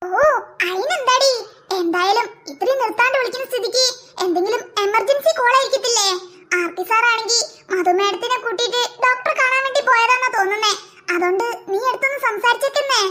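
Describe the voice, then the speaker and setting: A woman uses a cartoonish character voice, extremely high in pitch. She keeps a moderate pace with ordinary pitch variation. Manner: brisk, bossy, dismissive.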